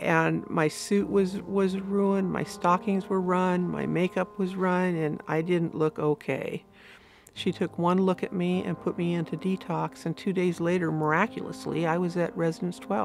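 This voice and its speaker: In a normal speaking voice, a woman talks at a moderate speed. Her intonation stays fairly even, and her pitch sits fairly low. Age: 60s. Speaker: recovered alcoholic sharing her story. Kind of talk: testimony.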